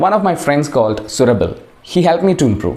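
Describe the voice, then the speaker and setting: A man with a Keralan accent speaks at a moderate pace in a fairly high pitch, his voice swinging very widely and showing vocal fry. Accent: Indian English, Malayali. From Kerala, India. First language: Malayalam. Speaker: English teacher and video creator. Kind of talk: casual personal talk to camera.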